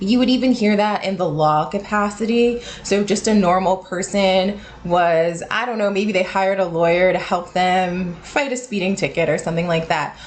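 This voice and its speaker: A woman with a General American accent speaks at a medium pitch with ordinary pitch variation and hardly any pauses. Noticeable background noise sits behind her. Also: moderate pace. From United States. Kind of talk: casual educational explanation to camera.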